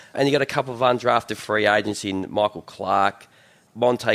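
A man with an Australian accent and ordinary pitch variation, in a dry, close sound with no echo. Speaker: sports podcast host. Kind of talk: casual chat.

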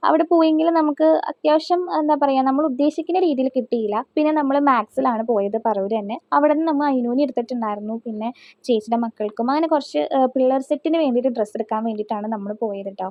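Speaking in a central Kerala accent, a woman uses a high pitch and lively intonation. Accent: Thrissur Malayalam. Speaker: family vlogger. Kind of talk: casual vlog talk.

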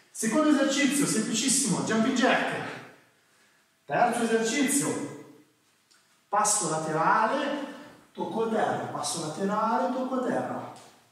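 A man speaks at a fairly slow pace in a space with strong room echo. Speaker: fitness trainer. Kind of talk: tutorial. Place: gym.

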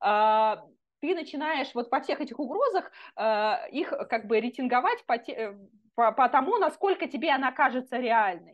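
A woman's high voice carries lively intonation. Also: moderate pace. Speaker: neuroscientist. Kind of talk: casual interview.

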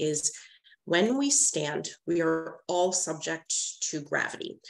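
A woman's very deep, low-pitched voice moves with ordinary pitch variation. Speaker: nurse practitioner lecturer. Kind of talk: lecture. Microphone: webcam.

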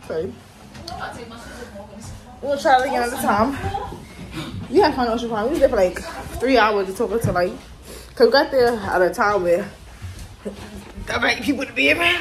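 A woman speaks at a fairly quick pace with fairly high pitch and lively intonation, leaving long, frequent pauses over light background noise. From New York. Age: 20s. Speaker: vlogger. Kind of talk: casual vlog talk to camera.

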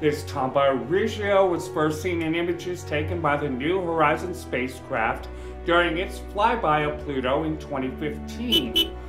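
A man at a moderate pace with hardly any pauses, over clear background music. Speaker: podcast host. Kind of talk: science podcast narration. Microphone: earbuds.

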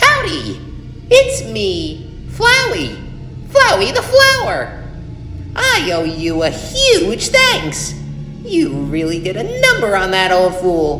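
A female-sounding, put-on character voice moves at a very slow pace. The recording has a slight echo and clear background noise. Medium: dub. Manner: menacing, mocking.

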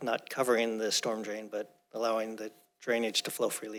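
The speaker is a man. His pitch is medium. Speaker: planning commissioner. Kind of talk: public meeting discussion. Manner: fast.

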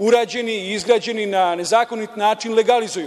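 Speaking at a very fast pace, a man uses a high pitch. His intonation stays fairly even. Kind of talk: parliamentary speech. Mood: critical, argumentative. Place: hall. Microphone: podium.

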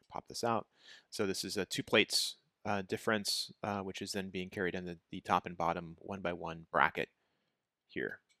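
Against a quiet background, a man with a very deep, low pitch speaks at a moderate pace in a dry sound with no echo. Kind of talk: tutorial. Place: home room.

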